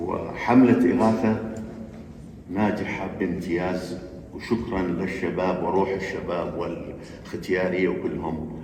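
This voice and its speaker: A man with a very deep, low voice talks at a very slow pace with fairly even intonation, with audible room echo and noticeable background noise. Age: 70s. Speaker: community leader. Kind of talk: panel discussion remarks.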